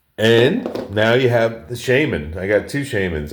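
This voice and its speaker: Lively intonation comes through in a New York accent. The recording is very clean, with a silent background. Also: man. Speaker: knife collector, video creator. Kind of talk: casual show-and-tell. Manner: casual, with fillers and restarts.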